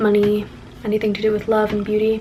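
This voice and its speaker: Noticeable background noise sits behind the recording. A woman talks at a fairly quick pace with a fairly high pitch. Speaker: witchcraft vlogger. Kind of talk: casual vlog.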